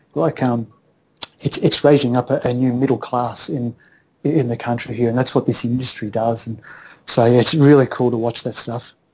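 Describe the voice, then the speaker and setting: Speaking with an Australian accent, a man uses a dark, mellow tone at medium pitch, moving at a moderate pace with fairly even intonation. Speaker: accountant and entrepreneur. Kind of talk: interview.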